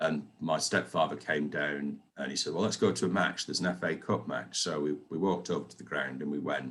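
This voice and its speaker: A man's very deep, low voice with vocal fry, a fairly quick pace and hardly any pauses. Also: ordinary pitch variation. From northern England, Oldham. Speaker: football fan interviewee. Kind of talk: interview. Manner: halting, repeats words.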